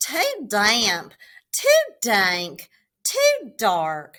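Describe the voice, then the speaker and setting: A woman puts on a squeaky character voice pitched fairly high. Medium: read story.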